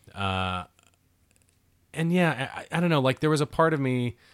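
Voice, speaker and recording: In an American accent, a man speaks at a moderate pace in a normal speaking voice, recorded very cleanly against a silent background. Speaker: podcast co-host. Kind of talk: casual movie commentary.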